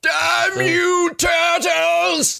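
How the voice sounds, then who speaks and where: A man is shouting. He uses a put-on character voice. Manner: growling, strained.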